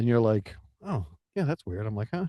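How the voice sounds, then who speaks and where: A man with an American accent speaks at a medium pitch in a dark, mellow tone, recorded with a dry, close sound and no echo. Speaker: podcast co-host. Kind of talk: casual chat. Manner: halting, many restarts and fillers.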